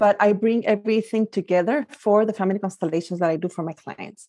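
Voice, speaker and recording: Woman with a Spanish accent, dark, mellow tone, fairly quick pace, and ordinary pitch variation, in a dry, close sound with no echo. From Guatemala. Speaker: life coach. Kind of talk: interview.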